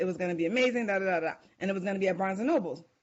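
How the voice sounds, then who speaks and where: With a New York accent, a woman talks at a medium pitch with ordinary pitch variation. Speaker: author and life coach. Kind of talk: podcast interview. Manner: halting.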